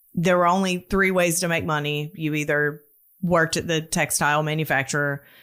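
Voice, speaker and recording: A woman's fairly low, bright, sharp voice with a Southern US accent, fairly even intonation and a moderate pace, in a very clean recording with a silent background. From US South. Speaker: storyteller guest. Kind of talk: casual interview, personal story.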